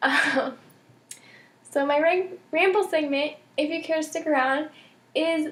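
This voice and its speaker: Her intonation is fairly even. The woman talks at a fairly slow pace. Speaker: knitting podcaster. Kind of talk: casual vlog monologue. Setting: home recording. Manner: many filler ums.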